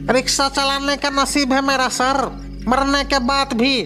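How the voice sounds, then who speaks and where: Someone uses a put-on character voice at a fairly slow pace, with clear background noise behind it. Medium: read story. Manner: chatty, laughing.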